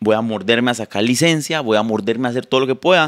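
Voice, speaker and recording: A man with a Costa Rican accent, very fast pace, ordinary pitch variation and a quiet background. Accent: unchanged Costa Rican. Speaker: content creator. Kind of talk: casual chat. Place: home room. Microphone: handheld.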